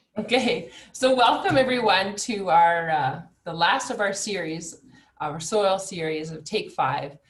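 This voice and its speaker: Audible room echo surrounds a woman talking at a medium pitch, her loudness swinging widely. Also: lively intonation, fairly slow pace. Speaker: webinar organizer. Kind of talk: online webinar introduction. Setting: video call.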